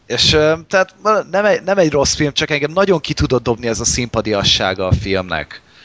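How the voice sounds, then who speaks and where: Over noticeable background noise, a man talks at a fairly quick pace and a fairly high pitch. His pitch swings very widely, and the sound is dry and close with no echo. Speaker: podcast host. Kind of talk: casual chat.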